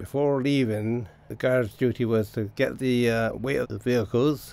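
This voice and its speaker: Here a man with a Bristol accent speaks at a medium pitch and fairly even intonation. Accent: Bristol West Country English. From Bristol, England (Bedminster). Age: 70s. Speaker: retired railway worker. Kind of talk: oral history interview. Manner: halting, with fillers.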